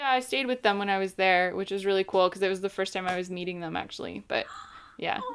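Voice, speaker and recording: Over noticeable background noise, a woman with an American accent talks very fast at a medium pitch with ordinary pitch variation. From New Jersey, Morris County. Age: 30s. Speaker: video production company owner. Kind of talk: casual chat. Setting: podcast recording.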